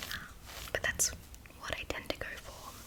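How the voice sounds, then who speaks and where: Someone whispers over noticeable background noise. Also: woman. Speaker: ASMR creator; marketing associate. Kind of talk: whispered Q&A to camera. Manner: whispered.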